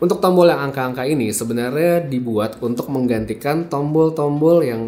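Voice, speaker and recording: Lively intonation from a man at a fairly quick pace, over noticeable background noise. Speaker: tech reviewer. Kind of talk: product review. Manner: casual, conversational.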